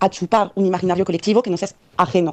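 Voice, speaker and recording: A woman with a strong French accent and a dark, mellow tone. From France, Paris. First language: French (speaking Spanish). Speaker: migrant sharing experience. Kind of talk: recorded testimony. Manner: halting, many fillers.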